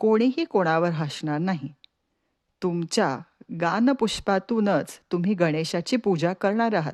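A woman speaks in a fairly low pitch. The sound is dry and close, with no echo. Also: quiet background. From Pune, Maharashtra. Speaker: storyteller. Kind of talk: storytelling.

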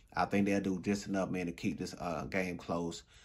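At a moderate pace, a man talks in a very deep, low voice with monotone, flat intonation. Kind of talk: casual promo and picks commentary.

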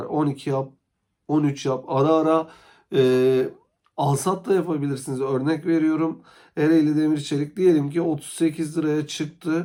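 A man with a dark, mellow tone and a fairly high pitch speaks at a fairly slow pace with fairly even intonation, on a very clean recording with a silent background. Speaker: stock market YouTuber. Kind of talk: solo market commentary vlog. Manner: hesitant, frequent filler sounds.

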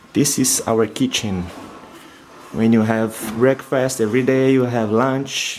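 A man with a non-native accent talks at a fairly slow pace and medium pitch, with very even loudness and fairly even intonation over light background noise. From Brazil. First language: Portuguese. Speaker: exchange student. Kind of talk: casual vlog house tour.

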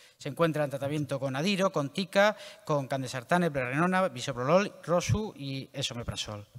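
Over a quiet background, a man with a normal speaking voice and a fairly high pitch talks at a moderate pace. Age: young. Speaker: interventional cardiologist. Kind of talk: clinical case presentation. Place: hall.

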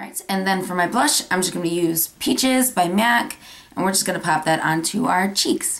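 Lively intonation from a woman amid noticeable background noise. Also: medium pitch for a woman, moderate pace. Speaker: beauty vlogger. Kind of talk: tutorial.

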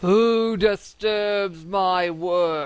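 A man's put-on character voice pitched high. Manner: demanding, booming.

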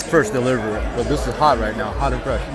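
A dry sound with no echo, a fairly quick pace and clear music in the background. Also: man. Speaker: food vlogger. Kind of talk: casual vlog chat. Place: cafe. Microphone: phone near.

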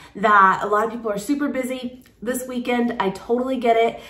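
With audible room echo around her, a woman keeps a moderate pace and fairly even intonation. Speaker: vlogger. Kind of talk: casual vlog chat. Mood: relaxed, cheerful. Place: kitchen. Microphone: phone near.

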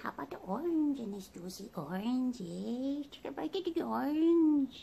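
A female-sounding, put-on character voice, high-pitched and playful in tone, moves at a moderate pace. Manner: playful, acted.

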